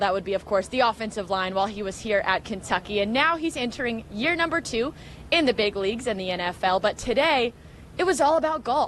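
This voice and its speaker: Speaking at a fairly quick pace, a woman with a fairly high pitch makes very wide pitch swings. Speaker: sports reporter and host. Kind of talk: TV sports news segment. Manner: clear, polished.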